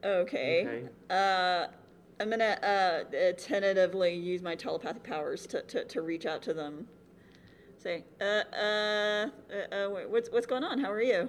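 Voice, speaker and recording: A woman's normal speaking voice at medium pitch, with ordinary pitch variation and a fairly slow pace. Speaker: tabletop roleplaying game player, podcast cast member. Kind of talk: live panel recording of a roleplaying game, casual and playful. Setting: stage with audience at a convention.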